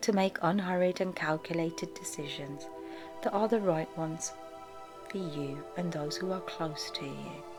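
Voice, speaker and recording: A woman talks in a calm, soothing tone with a very deep, low pitch. Music plays behind her. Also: ordinary pitch variation. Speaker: clinical hypnotherapist. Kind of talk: guided hypnosis / meditation narration. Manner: slow, calm, soothing.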